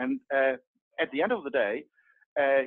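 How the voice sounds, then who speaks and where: Against a quiet background, a man's speech has lively intonation. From Germany. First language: German. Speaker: project manager and hobby agile coach; hobby agile coach. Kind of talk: group discussion. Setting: video call. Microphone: video call.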